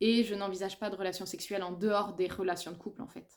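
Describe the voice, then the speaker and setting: The speaker is a woman with a medium pitch. Her recording is very clean, with a silent background. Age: 30s. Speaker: book and lifestyle vlogger. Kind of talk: casual monologue video. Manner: hesitant, many fillers.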